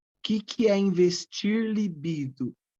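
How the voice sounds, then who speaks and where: A woman's dark, mellow tone. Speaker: psychoanalysis teacher. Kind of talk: online lecture. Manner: slow.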